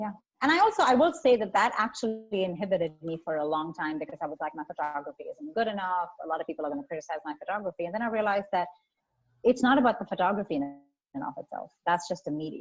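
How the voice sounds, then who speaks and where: Her pitch medium but swinging very widely, a woman talks at a very fast pace with big swings in loudness. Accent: Indian. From India. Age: 40s. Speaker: photographer and activist. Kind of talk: interview conversation.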